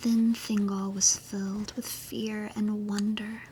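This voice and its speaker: Through noticeable background noise, a woman with a fairly high pitch speaks at a very slow pace in a gentle, soothing tone with monotone, flat intonation. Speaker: virtual YouTuber / ASMR streamer. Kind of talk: fantasy story reading. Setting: cozy bedtime, under the covers. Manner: slow, gentle, soothing.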